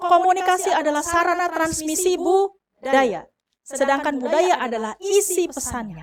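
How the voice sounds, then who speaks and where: With a slight Sundanese accent, a woman speaks at an extremely high pitch with lively intonation. She holds a moderate pace with hardly any pauses. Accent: slight Sundanese-tinged Indonesian. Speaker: university lecturer. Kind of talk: lecture.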